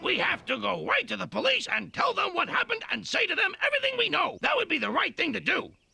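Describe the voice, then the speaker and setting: A man does a cartoonish character voice at an extremely high pitch. He talks very fast with hardly any pauses. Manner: earnest.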